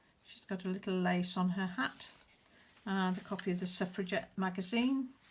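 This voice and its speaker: Her voice is medium-pitched and somewhat breathy, with ordinary pitch variation, as the woman speaks at a moderate pace. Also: long, frequent pauses. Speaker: crafter showing handmade journal. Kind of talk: show-and-tell video. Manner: halting, many fillers.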